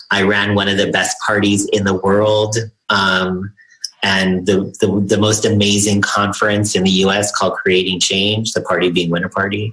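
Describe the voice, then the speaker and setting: Monotone, flat intonation in an American accent, with noticeable background noise. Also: man. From US, Chicano. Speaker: LGBTQ activist. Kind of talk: interview. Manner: loud.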